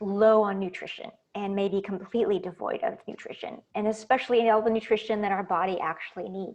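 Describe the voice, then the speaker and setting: A woman with a normal speaking voice talks at a fairly quick pace and medium pitch, with hardly any pauses. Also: ordinary pitch variation. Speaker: wellness coach. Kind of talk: online masterclass.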